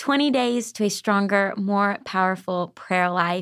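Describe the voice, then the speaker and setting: A woman speaks at a moderate pace with a Southern US accent, in a very clean recording with a silent background. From Arkansas. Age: 20s. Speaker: author, singer-songwriter and worship leader. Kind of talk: casual faith interview.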